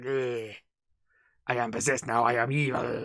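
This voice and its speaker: A raspy put-on character voice at a low-to-middle pitch and a moderate pace. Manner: demonic, menacing, mock-possessed.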